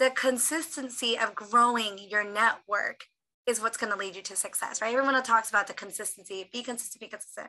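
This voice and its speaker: A woman speaks at a fairly quick pace and fairly high pitch in a bright, sharp, animated tone. Her pitch varies in an ordinary way while her loudness swings widely. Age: 30s. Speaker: motivational speaker. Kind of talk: motivational talk.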